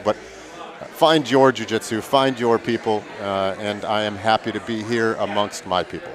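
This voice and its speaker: An American accent with noticeable background noise behind it. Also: man. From Milwaukee, Wisconsin. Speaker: gym owner and event commentator. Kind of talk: live commentary banter.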